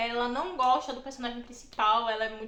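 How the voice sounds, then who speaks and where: Noticeable background noise and audible room echo surround the speaker. She is a woman with a high pitch, talking at a moderate pace. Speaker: book YouTuber. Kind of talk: casual vlog monologue. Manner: animated.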